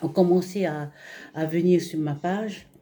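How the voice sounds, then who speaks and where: Very slow delivery from a woman, dark and mellow in tone, fairly low in pitch, with fairly even intonation. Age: 60s. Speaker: retiree giving a testimonial. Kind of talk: testimony. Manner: halting, many fillers.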